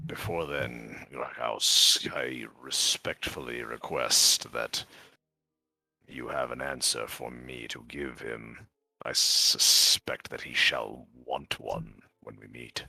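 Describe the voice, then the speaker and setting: A man does a put-on character voice that is raspy and very deep, at a very slow pace with fairly even intonation. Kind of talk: formal, archaic phrasing. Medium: actual play. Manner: measured, polite, deliberate.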